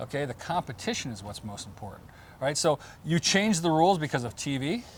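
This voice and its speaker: Animated and somewhat breathy, a man speaks at a fairly quick pace in a fairly high voice with very wide pitch swings. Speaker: former pro beach volleyball player. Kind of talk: podcast interview. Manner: fast; animated, halting repetitions.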